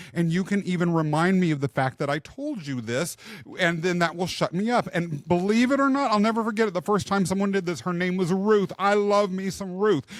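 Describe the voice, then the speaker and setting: Loud and at a fairly quick pace, a high-pitched man talks with lively intonation and hardly any pauses. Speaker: podcast host and leadership coach. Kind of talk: casual interview chat. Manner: loud, boisterous.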